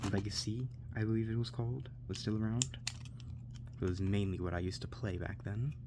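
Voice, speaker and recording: The voice has a calm, soothing tone and a fairly quick pace, broken by long, frequent pauses. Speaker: ASMR content creator. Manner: calm, soothing, rambling.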